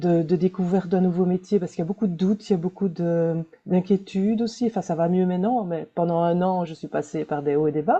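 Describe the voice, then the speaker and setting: Speaking at a fairly quick pace with hardly any pauses, a woman uses fairly even intonation in a medium-pitched voice with a dark, mellow tone. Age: 60s. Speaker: webinar participant, librarian. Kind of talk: personal introduction. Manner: hesitant.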